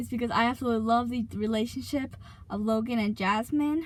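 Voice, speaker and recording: Speaking fairly quickly, a woman keeps her intonation fairly even. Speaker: YouTuber. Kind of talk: casual chat. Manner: fast; hesitant, many fillers.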